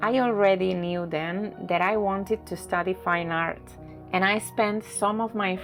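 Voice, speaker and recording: Music plays behind a woman speaking in a Spanish accent at a medium pitch. Her pace is fairly slow and her intonation fairly even. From Barcelona, Spain. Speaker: watercolor artist. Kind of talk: reflective narration over painting video.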